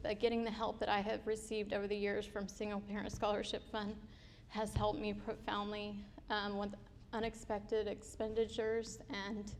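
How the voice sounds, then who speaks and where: A woman's medium-pitched, flat, monotone voice at a fairly quick pace, with audible room echo. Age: 30s. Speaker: scholarship recipient, student. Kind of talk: testimony. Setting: stage with audience.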